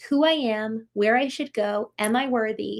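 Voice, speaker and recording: This woman has a normal speaking voice, pitched fairly high, with fairly even intonation on a very clean recording with a silent background. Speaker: personal growth show host. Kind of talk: live stream chat.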